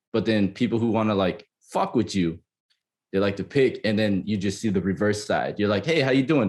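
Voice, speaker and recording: A man's fairly low voice, very even in loudness, with ordinary pitch variation and a fairly quick pace. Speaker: podcast guest. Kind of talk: casual chat. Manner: halting.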